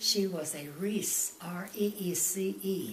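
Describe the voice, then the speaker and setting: Against noticeable background noise and audible room echo, a woman speaks with lively intonation. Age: 80s+. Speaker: grandmother interviewed about family history. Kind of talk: family interview about her life. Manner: halting.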